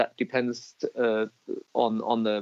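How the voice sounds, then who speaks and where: A man speaks with a German accent in a dry, close sound with no echo. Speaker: business chamber director. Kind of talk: interview. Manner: halting, many repeated words.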